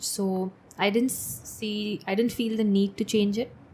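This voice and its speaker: The woman's voice is somewhat breathy and sits at medium pitch. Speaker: sports physiotherapist. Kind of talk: podcast interview.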